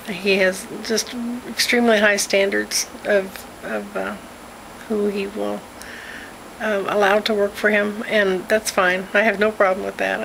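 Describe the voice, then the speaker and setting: Light background noise is audible. A woman talks over it. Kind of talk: casual vlog chat. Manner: weak, drowsy, slow post-surgery speech. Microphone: phone near.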